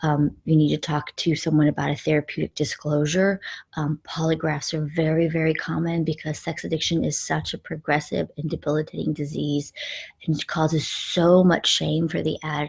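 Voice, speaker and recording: In a dry, close recording with no echo, a woman speaks with fairly even intonation in a very deep, low voice. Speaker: life coach. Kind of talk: live stream talk. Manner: fast; frequent filler ums.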